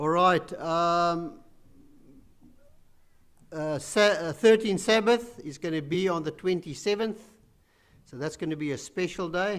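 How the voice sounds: A man's fairly high, fairly bright voice at a fairly slow pace, with ordinary pitch variation and long, frequent pauses.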